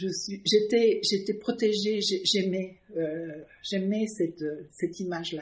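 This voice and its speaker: A somewhat breathy woman's voice, very slow, with long, frequent pauses and fairly even intonation. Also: medium pitch for a woman. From Canada, then France (Villepreux). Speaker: artist. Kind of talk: casual interview. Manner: halting, many hesitations.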